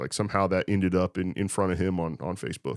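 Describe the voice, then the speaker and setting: At a fairly quick pace, a speaker with a Midwestern US accent is heard in a dry, close sound with no echo on a very clean recording with a silent background. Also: man. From Indiana, Clinton County. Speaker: high school football coach. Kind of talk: casual interview.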